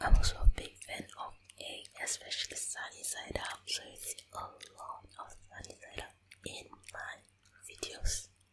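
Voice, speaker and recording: A woman whispering at a fairly slow pace, with big swings in loudness and noticeable background noise. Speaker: stay-at-home mom, ASMR creator. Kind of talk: ASMR whispered voiceover. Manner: whispered.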